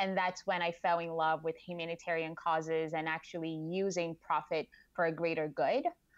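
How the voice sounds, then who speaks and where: A woman with a Portuguese accent talks fairly quickly in a fairly low, monotone voice with flat intonation. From Brazil. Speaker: marketing director. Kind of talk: interview.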